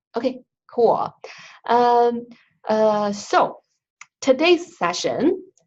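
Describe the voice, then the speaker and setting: A woman with a Chinese accent, fairly high in pitch, at a very slow pace. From China. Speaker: instructional designer. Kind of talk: online training session.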